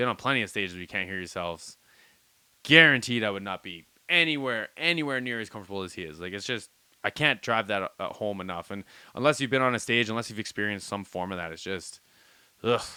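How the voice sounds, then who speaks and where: Very fast and animated, a man with a fairly low pitch and a bright, sharp tone uses lively intonation and big swings in loudness, in a very clean recording with a silent background. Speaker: music reaction youtuber. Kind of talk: casual reaction commentary.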